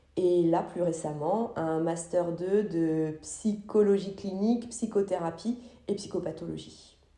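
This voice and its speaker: Speaking very slowly, a woman with a fairly low pitch and a dark, mellow tone uses ordinary pitch variation while the room echo is audible. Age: 40s. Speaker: psychologist. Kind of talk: interview. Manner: halting, many fillers.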